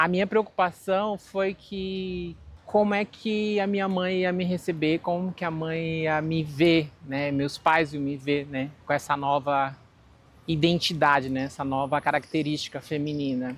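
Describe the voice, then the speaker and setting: Her pitch is very deep and low for a woman, with ordinary variation. The woman talks at a fairly slow pace. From Brazil, Manaus (Amazonas). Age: 40s. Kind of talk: personal testimony interview.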